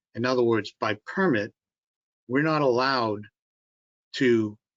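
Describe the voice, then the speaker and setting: A man with a Massachusetts accent, medium pitch and a fairly slow pace. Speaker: bridge engineering consultant. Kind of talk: public meeting presentation and Q&A. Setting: online video conference. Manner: halting, many fillers.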